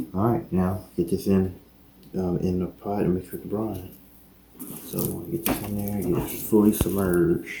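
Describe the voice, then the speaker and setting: A man speaks softly at a moderate pace in a very deep, low voice with a dark, mellow tone. His delivery is monotone and flat, and somewhat breathy. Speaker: cooking youtuber. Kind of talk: cooking tutorial. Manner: casual; soft-spoken.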